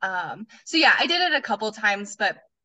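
A woman talks in a normal speaking voice with an American accent. Her pitch is medium and her pace is moderate. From Colorado. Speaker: former gym owner. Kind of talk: interview.

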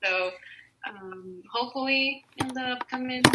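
A woman's fairly high voice shows ordinary pitch variation. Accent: Spanish. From Mexico. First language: Spanish. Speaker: opera singer. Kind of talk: interview. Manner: hesitant, many fillers.

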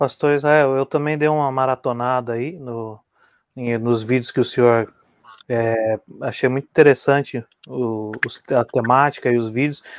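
A man's unremarkable speaking voice at medium pitch, fairly even in intonation, at a fairly slow pace, in dry, close sound with no echo. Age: 30s. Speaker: co-host. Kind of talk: live talk show.

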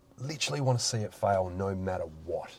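An Australian accent at a moderate pace. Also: man. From South Australia, rural south-east. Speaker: local councillor and business owner. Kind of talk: podcast interview.

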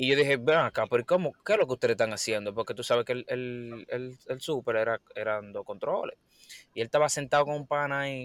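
Heard in a dry, close sound with no echo, a man with a normal speaking voice talks at a fairly quick pace, with medium pitch and ordinary pitch variation. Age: 20s. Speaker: podcast host. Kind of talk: casual chat.

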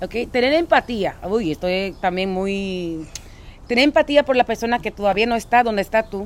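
This woman has a normal speaking voice with a fairly high pitch. She talks at a moderate pace with lively intonation. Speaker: podcast co-host. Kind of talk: casual chat. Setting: outdoors.

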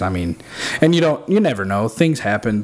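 A man with a plain, everyday voice speaks at a fairly quick pace. His pitch is fairly low. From southern Illinois. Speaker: barbecue pitmaster. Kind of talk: casual chat.

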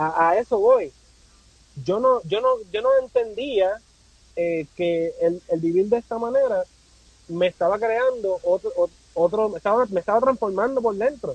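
A man speaks at a fairly slow pace with long, frequent pauses, a high pitch and ordinary pitch variation, the sound dry and close with no echo. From Puerto Rico. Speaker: content creator and amateur photographer. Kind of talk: casual interview conversation.

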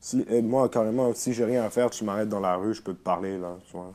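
A man speaks with a fairly low pitch and ordinary pitch variation. His tone is dark and mellow. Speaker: rapper. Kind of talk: casual chat. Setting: at the host's home.

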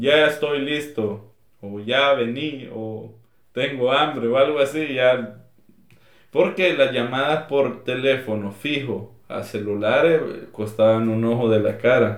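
Audible room echo surrounds a man who speaks at a very slow pace, with a medium pitch and ordinary pitch variation. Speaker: podcast co-host. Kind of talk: casual chat.

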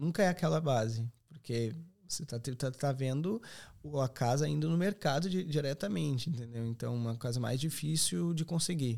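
Recorded very cleanly with a silent background, a man speaks at a moderate pace with lively intonation. His voice is fairly high, with a dark, mellow tone. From southern Brazil, Serra Gaúcha (Rio Grande do Sul). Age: 20s. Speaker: accommodation company representative. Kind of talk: podcast interview.

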